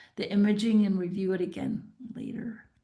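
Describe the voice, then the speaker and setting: A woman's somewhat breathy, medium-pitched voice with fairly even intonation. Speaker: veterinary specialist. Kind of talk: webinar lecture. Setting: online webinar.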